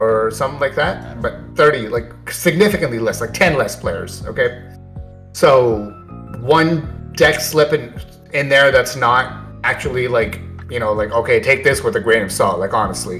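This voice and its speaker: Music runs behind the voice. The man keeps to a moderate pace. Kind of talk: casual video talk about card game tournament results.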